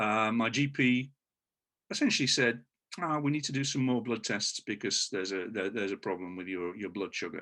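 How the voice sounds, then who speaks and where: A man's medium-pitched voice with a British accent, lively intonation and a bright, sharp tone, on a very clean recording with a silent background. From United Kingdom. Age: 60s. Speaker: patient. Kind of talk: interview. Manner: halting, many fillers.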